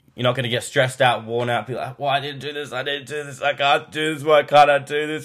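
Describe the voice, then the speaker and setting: A man races along at a very fast pace with a fairly high pitch. His intonation is monotone and flat. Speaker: vlogger. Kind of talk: casual monologue.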